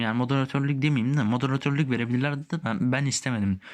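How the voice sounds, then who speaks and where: Against a quiet background, a man talks at a medium pitch. His pace is fairly quick and his intonation fairly even. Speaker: gaming youtuber. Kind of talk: tutorial. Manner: halting.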